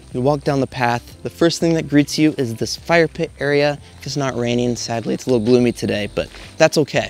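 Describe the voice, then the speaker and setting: A man speaking at a fairly quick pace with ordinary pitch variation, a dry sound with no echo, and faint music in the background. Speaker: tiny house tour host. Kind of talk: tour commentary. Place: garden.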